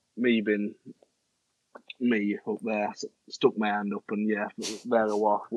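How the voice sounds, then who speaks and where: A man talks with a Yorkshire accent and fairly even intonation. The sound is dry and close, with no echo. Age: 20s. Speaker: amateur cricket captain. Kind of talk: interview. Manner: loud.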